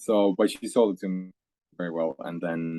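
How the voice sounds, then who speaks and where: A man with a very deep, low voice and a Faroese accent speaks at a moderate pace with fairly even intonation, in a dry, close sound with no echo. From Faroe Islands. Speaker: singer-songwriter. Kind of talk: casual interview chat.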